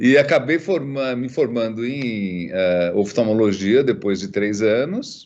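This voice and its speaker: A man speaks at a very slow pace with a medium pitch. His intonation is lively, with hardly any pauses. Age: 60s. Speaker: ophthalmologist and professor. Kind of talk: interview. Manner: halting, many fillers.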